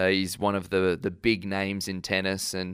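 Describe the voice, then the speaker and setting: An Australian accent comes through at a moderate pace. The recording is very clean, and the background is silent. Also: man. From Brisbane, Queensland, Australia. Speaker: professional tennis player. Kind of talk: interview.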